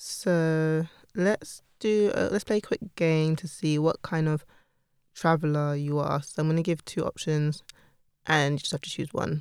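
In a London accent, a woman with a very deep, low pitch speaks at a fairly slow pace with fairly even intonation. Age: 30s. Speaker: podcast co-host. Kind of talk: casual chat.

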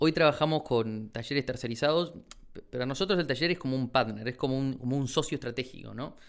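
On a very clean recording with a silent background, a man speaks very fast at a medium pitch with ordinary pitch variation. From Argentina, Chaco province. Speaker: shoe brand founder and architect. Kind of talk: interview.

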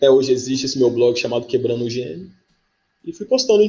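The man's voice has a dark, mellow tone. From Campina Grande, Paraíba, Brazil. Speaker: writer and screenwriter. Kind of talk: casual interview chat. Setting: live video podcast.

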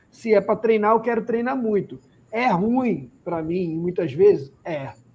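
High male voice at a moderate pace, pitch varying in an ordinary way. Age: 40s. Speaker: physiotherapist and running podcast host. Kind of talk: casual chat.

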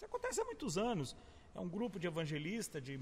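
A man talks at a very fast pace in a high pitch, with noticeable background noise behind him. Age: 40s. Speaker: pastor. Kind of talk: casual chat.

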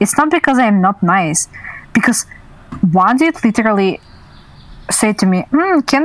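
With a Russian accent and lively intonation, a woman speaks at a moderate pace in a dry, close recording with no echo. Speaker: streamer. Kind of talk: casual chat.

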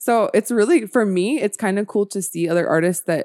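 In a very clean recording with a silent background, a woman with an American accent has a plain, everyday voice at medium pitch, speaking at a moderate pace with a dry, close sound and no echo. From US South, Georgia (Marietta, near Atlanta). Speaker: visual artist. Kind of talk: casual interview chat. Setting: studio at an art gallery, video recorded.

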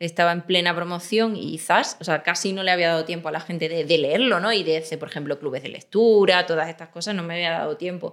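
A woman with a fairly low pitch rushes along at a very fast pace, with hardly any pauses and fairly even intonation. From Extremadura, Spain. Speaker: crime novelist. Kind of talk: interview conversation.

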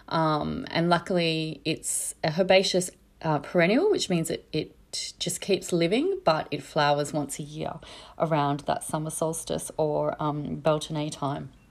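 Fairly slow speech with vocal fry and an Australian accent, on a very clean recording with a silent background. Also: woman, very deep, low pitch for a woman, fairly even intonation. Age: 40s. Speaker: herbalist podcast host. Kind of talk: solo educational talk. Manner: casual, many filler words.

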